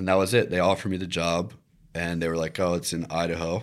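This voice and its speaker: A man's very deep, low voice in a Virginia accent, very fast with fairly even intonation, in a very clean recording with a silent background. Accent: American (Virginia). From Virginia Beach, Virginia, US. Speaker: videographer and content creator. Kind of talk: interview.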